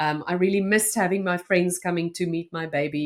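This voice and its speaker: A fairly quick delivery in a South African accent, with ordinary pitch variation. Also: woman. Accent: Afrikaans South African English. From South Africa, North West province small town. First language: Afrikaans. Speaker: journalist and podcaster. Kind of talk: interview conversation.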